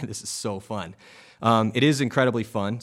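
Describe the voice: A man puts on a gravelly character voice at a medium pitch. He keeps a moderate pace with ordinary pitch variation.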